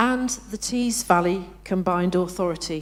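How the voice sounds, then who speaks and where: A woman talks with a northern English accent. Her pitch variation is ordinary. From northern England. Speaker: professional association president. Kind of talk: conference opening address. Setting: conference hall with live audience. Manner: hesitant, many fillers.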